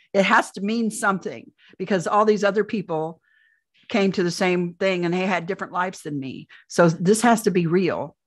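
Against a quiet background, a woman speaks with a Midwestern American accent. Her pitch is medium, her pitch variation ordinary and her pace moderate. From US Midwest, central Indiana. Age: 60s. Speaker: UFO abduction experiencer and author. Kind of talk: interview testimony.

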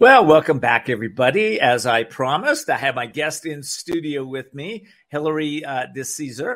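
On a very clean recording with a silent background, a man with a fairly high pitch talks at a moderate pace with lively intonation. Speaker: radio talk show host. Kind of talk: live-read radio infomercial for a CBD product. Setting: radio studio. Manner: warm, friendly pitchman tone, pitching with soothing conviction; casual and slightly halting, with frequent fillers.

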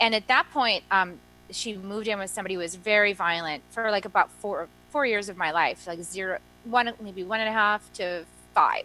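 A woman speaks at a moderate pace with ordinary pitch variation. Music can be heard behind her. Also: medium pitch for a woman. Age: 40s. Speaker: energy medicine practitioner and author. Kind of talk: interview. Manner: animated.

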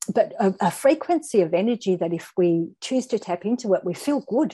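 A woman with an Australian accent speaks in a dark, mellow tone at a moderate pace. Her intonation is lively, and the background is quiet. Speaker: guest speaker. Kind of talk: casual chat.

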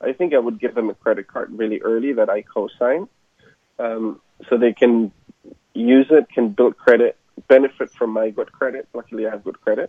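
A man with a German accent, at a moderate pace. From Germany. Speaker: entrepreneur. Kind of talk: interview. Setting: radio show.

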